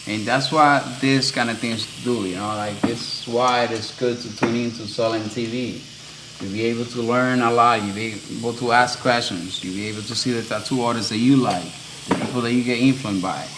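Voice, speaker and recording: Spoken with a Dominican accent at a fairly quick pace and fairly even intonation, the clip carries noticeable background noise and audible room echo. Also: man, medium pitch for a man. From Dominican Republic. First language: Spanish. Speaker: tattoo artist. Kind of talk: casual chat. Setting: live stream. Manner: hesitant, many fillers.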